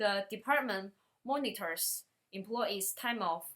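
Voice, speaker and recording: A woman with a medium pitch talks very slowly, using ordinary pitch variation. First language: not English. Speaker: student. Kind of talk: class presentation.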